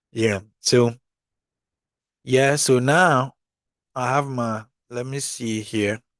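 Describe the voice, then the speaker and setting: In a quiet background, a man with a non-native accent talks at a medium pitch, his sound dry and close with no echo. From Ghana. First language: not English. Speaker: car reviewer / YouTuber. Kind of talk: casual walkthrough tutorial. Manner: casual, conversational.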